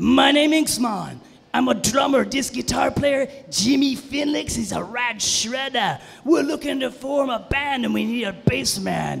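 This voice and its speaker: A man puts on a character voice at an extremely high pitch. Faint music plays in the background. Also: moderate pace. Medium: stage play. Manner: laid-back, slangy.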